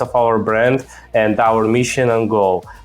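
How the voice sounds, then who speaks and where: With a non-native accent, a man speaks in a monotone with flat intonation. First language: not English. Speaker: e-commerce podcast host. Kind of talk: podcast interview.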